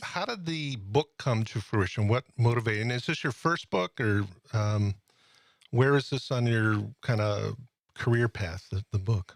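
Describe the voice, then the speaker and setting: A man's normal speaking voice with an American accent, medium pitch, ordinary pitch variation and a fairly slow pace, dry and close with no echo on a very clean recording with a silent background. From Springfield, Massachusetts. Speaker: podcast host. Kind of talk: interview.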